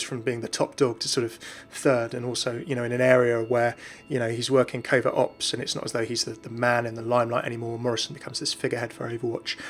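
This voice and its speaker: Very fast, monotone speech from a man with flat intonation, over noticeable background noise. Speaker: gaming YouTuber. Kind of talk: casual talk to camera. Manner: mellow.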